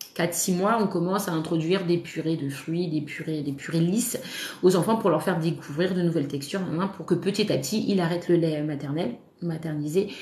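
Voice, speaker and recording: A woman speaks at a moderate pace in a fairly low pitch with ordinary pitch variation. Noticeable background noise and audible room echo fill the recording. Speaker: parenting content creator, mother. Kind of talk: live stream talk. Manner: hesitant, many fillers; casual, animated.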